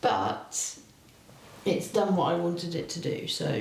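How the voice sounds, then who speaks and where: A woman's fairly low voice amid noticeable background noise and audible room echo. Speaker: craft video host. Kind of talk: casual craft tutorial chat. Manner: halting, with false starts.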